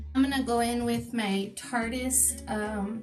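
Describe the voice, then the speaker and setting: Music plays in the background while a woman talks. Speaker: pin-up makeup and hair vlogger. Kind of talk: casual makeup tutorial talk to camera.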